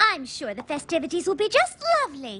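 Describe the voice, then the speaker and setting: A cartoonish character voice, female-sounding and extremely high-pitched, rattles along at a fairly quick pace. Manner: fast, excitable.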